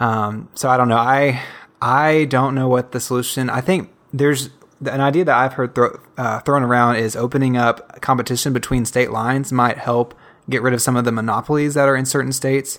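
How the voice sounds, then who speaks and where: Flat, monotone intonation marks this man's fairly quick delivery. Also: medium pitch for a man. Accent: Southern. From US South. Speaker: listener guest, conservative. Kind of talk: casual chat.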